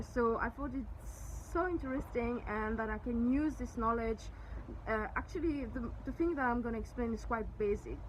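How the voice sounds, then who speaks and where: The speaker has a French accent and ordinary pitch variation. Audible room echo is present. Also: woman, fairly high pitch for a woman, moderate pace. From Mauritius. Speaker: eyelash extension trainer and salon owner. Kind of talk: tutorial. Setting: outdoors at the beach. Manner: halting.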